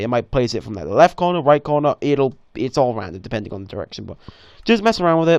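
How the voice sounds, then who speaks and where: A man talks very fast against a quiet background. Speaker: Minecraft map maker. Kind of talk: tutorial. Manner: casual, hesitant.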